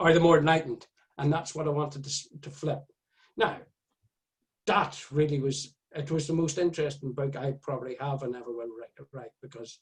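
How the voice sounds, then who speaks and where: This man has an Irish accent and a fairly high pitch, and his voice is somewhat breathy. He talks at a moderate pace with fairly even intonation. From Ireland. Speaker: author. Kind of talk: casual chat.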